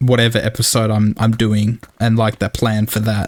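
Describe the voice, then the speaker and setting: At a fairly slow pace, a man talks with an Australian accent. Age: 20s. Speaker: gaming YouTuber. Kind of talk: gameplay commentary. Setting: home recording with headset.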